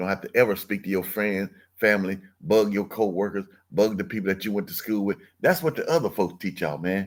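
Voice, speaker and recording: On a very clean recording with a silent background, a man with a fairly low pitch talks at a very fast pace with ordinary pitch variation. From US South, Mississippi. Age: 60s. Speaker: online business coach. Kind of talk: livestream sales pitch. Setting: live stream. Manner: animated, conversational.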